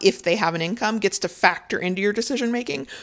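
An ordinary speaking voice from a woman, medium in pitch with lively intonation, over a quiet background. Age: 30s. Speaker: podcast host and freelance sex writer. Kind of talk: solo podcast monologue. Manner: casual, with fillers and restarts.

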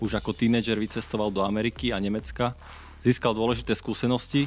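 A man with a fairly low pitch talks at a very fast pace. His intonation stays fairly even. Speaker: podcast host. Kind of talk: interview; scripted intro.

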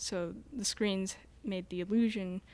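A woman with an American accent speaks at medium pitch with ordinary pitch variation in a plain, everyday voice. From Ashland, Montana. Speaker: shop worker and designer. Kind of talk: casual chat. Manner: giggly.

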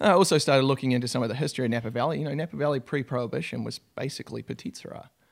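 With a New Zealand accent, a man talks very fast with hardly any pauses, at a medium pitch with ordinary pitch variation, vocal fry and big swings in loudness. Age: 30s. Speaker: winemaker. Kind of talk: casual chat.

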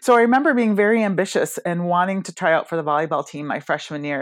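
A woman with an American accent at a fairly quick pace, dry and close with no echo, against a quiet background. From Michigan, Rochester near Detroit. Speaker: executive coach. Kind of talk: podcast interview.

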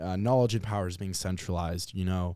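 A man talks at a very fast pace with an American accent. The recording is very clean, with a silent background. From Nebraska, Omaha. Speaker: program director of a youth civics program. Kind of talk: podcast interview.

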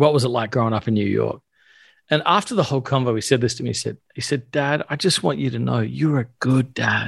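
An unremarkable speaking voice from a man, medium in pitch and fairly quick, with ordinary pitch variation, in a very clean recording with a silent background. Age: 40s. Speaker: pastor and author. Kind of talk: casual interview.

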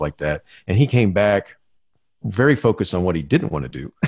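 In a very clean recording with a silent background, a man with an American accent talks at a fairly quick pace, his fairly low pitch swinging very widely. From Florida. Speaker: school administrator. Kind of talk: interview.

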